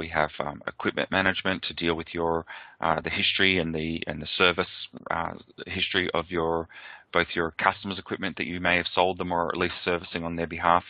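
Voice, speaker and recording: With an Australian accent, a man speaks at a fairly quick pace in a very deep, low voice with monotone, flat intonation. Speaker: software presenter. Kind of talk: product webinar presentation. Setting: webcast. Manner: hesitant, many fillers.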